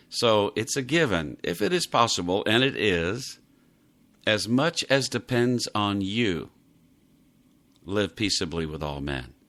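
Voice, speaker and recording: A man with an American accent, a bright, sharp tone, lively intonation and a fairly slow pace, on a very clean recording with a silent background. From US South, Miami, Florida. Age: 60s. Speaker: devotional podcast host. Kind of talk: devotional podcast talk.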